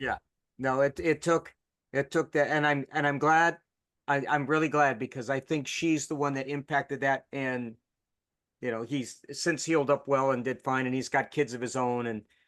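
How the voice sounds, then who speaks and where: Over a quiet background with a dry, close sound and no echo, a man with an ordinary speaking voice talks at a moderate pace and fairly high pitch, with fairly even intonation. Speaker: podcast host. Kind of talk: interview host talk.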